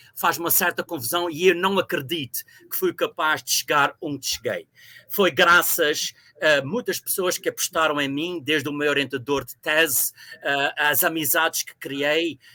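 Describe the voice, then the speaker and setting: At a moderate pace, a man speaks in a bright, sharp tone at a fairly high pitch with fairly even intonation and big swings in loudness, the sound dry and close with no echo. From Azores, Ribeira Grande (São Miguel). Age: 60s. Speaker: university professor. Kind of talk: interview. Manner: hesitant with fillers.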